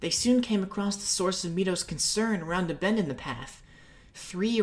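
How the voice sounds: Pitch shifting in an ordinary way across a natural reading voice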